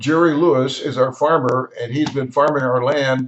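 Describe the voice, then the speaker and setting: This man talks at a fairly slow pace with a West Texas accent, his fairly high pitch held in fairly even intonation. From Texas Panhandle, Wellington. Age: 80s+. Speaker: home video narrator. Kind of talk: video voiceover narration. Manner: casual, with hesitations.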